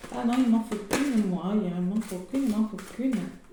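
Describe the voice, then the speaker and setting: A woman with a fairly high pitch is heard through noticeable background noise and audible room echo. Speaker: tarot card reader. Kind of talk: card reading to camera.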